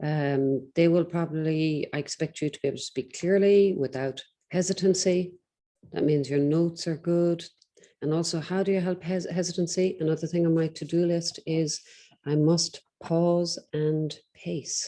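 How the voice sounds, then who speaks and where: The woman's pitch is fairly low, and her tone is dark and mellow. Her intonation stays fairly even. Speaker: English teacher. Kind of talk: tutoring feedback session. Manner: slow, deliberate pacing; hesitant, many fillers.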